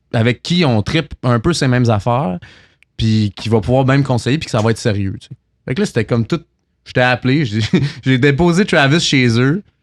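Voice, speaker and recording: A man with a Quebec accent speaks at a medium pitch with lively intonation, the sound dry and close with no echo. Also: moderate pace, big swings in loudness, very clean recording, silent background. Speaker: singer-songwriter. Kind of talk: casual chat. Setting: bar venue, filmed podcast.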